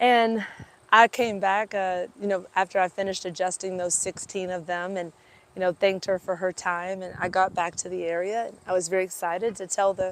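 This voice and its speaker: A woman speaks at a fairly quick pace with an American accent and a medium pitch. The recording is very clean, with a silent background. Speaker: animal chiropractor. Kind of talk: casual storytelling live stream. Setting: outdoors, parked by fairgrounds. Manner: animated.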